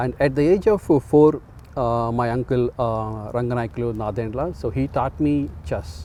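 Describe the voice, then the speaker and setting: In an Indian accent, a man talks at a fairly slow pace. His medium-pitched voice has lively intonation. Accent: Indian English (Telugu). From India, Andhra Pradesh. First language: Telugu. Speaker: community organizer and chess club founder. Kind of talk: interview. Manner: halting, many fillers.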